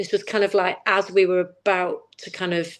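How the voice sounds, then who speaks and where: A woman with a Manchester accent speaks at a medium pitch against a quiet background. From northern England, Manchester. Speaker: campaign founder and fashion lecturer. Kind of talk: casual chat. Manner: animated.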